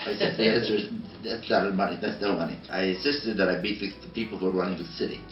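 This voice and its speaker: A man's fairly low, fairly even voice at a very fast pace, with music in the background and audible room echo. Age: 80s+. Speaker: design educator. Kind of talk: interview.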